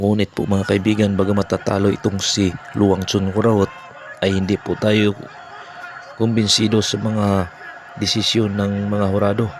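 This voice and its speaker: A man speaks at a moderate pace and a fairly low pitch, in a monotone with flat intonation, very even loudness, and long, frequent pauses, amid noticeable background noise. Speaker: boxing commentator and channel host. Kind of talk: boxing commentary recap.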